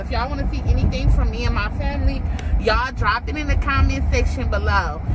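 A woman talks at a fairly quick pace. Loud background noise surrounds her. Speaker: vlogger. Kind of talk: casual vlog chat. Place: car. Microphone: phone near.

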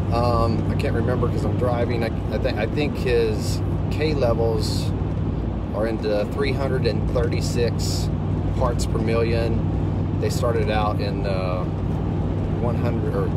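Over loud background noise, a man speaks at a very slow pace in a dry sound with no echo. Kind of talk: casual vlog chat. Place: car. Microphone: phone near.

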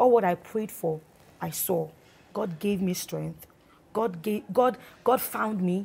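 A woman speaks at medium pitch in a dark, mellow tone. Her voice is somewhat breathy, with lively intonation. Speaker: gospel singer, guest. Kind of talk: interview, personal testimony.

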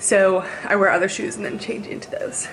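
A woman talks at a moderate pace while faint music sounds in the background. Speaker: student vlogger on a dance team. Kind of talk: casual vlog chat. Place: home room. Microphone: phone near.

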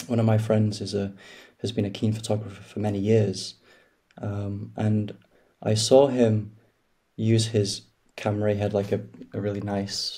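At a moderate pace, a man speaks in a flat monotone that is somewhat breathy. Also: quiet background. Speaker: podcast guest. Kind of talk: interview answer. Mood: reflective, calm. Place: home room. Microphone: video call.

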